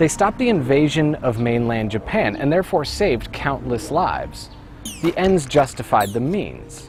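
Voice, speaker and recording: Over music in the background, a man with a North American accent speaks at a moderate pace. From North America (US and Canada). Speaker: video essayist. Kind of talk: scripted narration.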